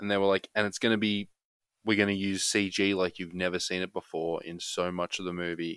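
A man with an Australian accent speaks at a fairly quick pace in a very deep, low, flat monotone. The recording is very clean and dry, close and without echo, with a silent background. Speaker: film podcast co-host. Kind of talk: casual chat.

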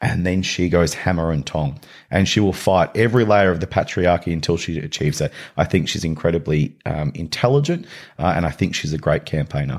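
On a very clean recording with a silent background, a man with a very deep, low pitch speaks fairly quickly with ordinary pitch variation. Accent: Australian. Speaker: nonprofit CEO. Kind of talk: podcast interview.

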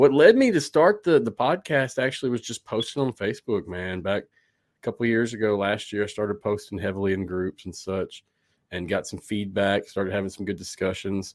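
A man's normal speaking voice, fairly low in pitch with ordinary pitch variation, at a fairly quick pace with hardly any pauses. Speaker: sports podcaster. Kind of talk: casual interview. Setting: video call.

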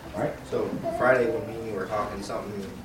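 Here a man talks at a moderate pace. Background noise is noticeable. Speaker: congregation member sharing. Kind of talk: casual testimony. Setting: church.

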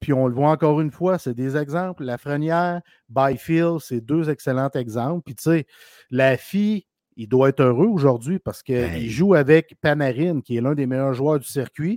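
In a very clean recording with a silent background, a man talks at a moderate pace with a fairly high pitch, ordinary pitch variation and a dark, mellow tone, the sound dry and close with no echo. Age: 40s. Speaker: hockey podcast co-host. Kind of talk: casual chat.

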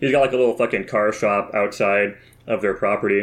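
Fairly low in pitch, a man with an unremarkable speaking voice talks at a fairly quick pace with fairly even intonation on a very clean recording with a silent background. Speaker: co-host.

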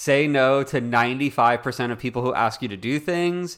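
A man with a normal speaking voice talks at a fairly quick pace and medium pitch on a very clean recording with a silent background. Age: 20s. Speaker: company CEO and podcast co-host. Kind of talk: casual chat. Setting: studio.

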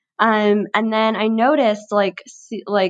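A woman at medium pitch against a quiet background. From Chicago, US Midwest. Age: 20s. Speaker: podcast guest sharing health story. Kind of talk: interview, personal story.

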